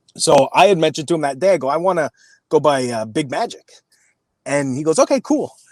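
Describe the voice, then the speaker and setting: Speech at a very fast pace with lively intonation, on a very clean recording with a silent background and a dry, close sound with no echo. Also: man, fairly high pitch for a man. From Quebec, Canada (Montreal). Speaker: professional wrestler. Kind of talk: podcast interview. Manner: halting, self-correcting.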